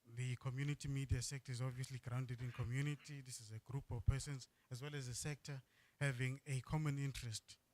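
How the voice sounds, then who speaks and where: Medium-pitched man, very fast and somewhat breathy, monotone and flat, in a dry, close sound with no echo. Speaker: agency presenter at workshop. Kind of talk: presentation.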